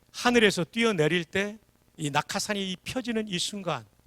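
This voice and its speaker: Raised and projected, a man's high, bright, sharp voice sounds animated, the sound dry and close with no echo. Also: very clean recording, silent background. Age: 60s. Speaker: revival preacher, former army chaplain. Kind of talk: sermon. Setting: church.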